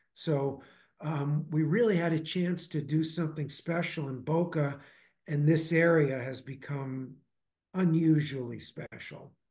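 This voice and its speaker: A man speaks in a normal speaking voice, fairly high in pitch. He talks at a fairly slow pace with fairly even intonation. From Brooklyn, New York. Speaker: investment firm founder. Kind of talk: interview.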